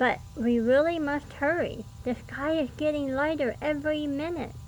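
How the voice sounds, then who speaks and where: Over clear background noise, a woman uses a put-on character voice at a high pitch and a moderate pace. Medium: read story.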